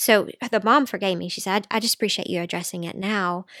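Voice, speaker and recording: The sound is dry and close with no echo as a woman talks with ordinary pitch variation. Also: very clean recording, silent background. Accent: Southern US. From Middle Tennessee. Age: 40s. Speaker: dietitian and mother. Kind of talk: interview.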